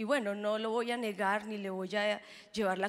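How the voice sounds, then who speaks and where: A woman speaks at a moderate pace. Her pitch is fairly high. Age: 30s. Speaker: pastor. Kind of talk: sermon. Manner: animated. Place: stage. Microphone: handheld.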